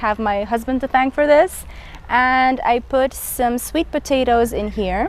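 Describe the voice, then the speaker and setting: A woman speaks in a high pitch with ordinary variation. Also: fairly slow pace. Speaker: gardening vlogger. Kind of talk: garden tour walkthrough. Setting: outdoors in garden. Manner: casual, chatty.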